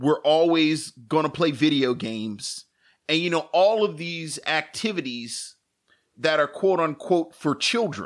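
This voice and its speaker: A man with an American accent, an ordinary speaking voice, a fairly high pitch and ordinary pitch variation is heard on a very clean recording with a silent background. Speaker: podcast co-host. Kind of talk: casual chat. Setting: live stream.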